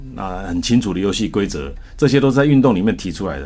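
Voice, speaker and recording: A man's very deep, low voice with a Taiwanese accent, very fast pace and lively intonation over background music. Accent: Taiwanese Mandarin. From Taiwan, Taichung. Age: 60s. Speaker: company chairman and former Olympic athlete. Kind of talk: radio interview.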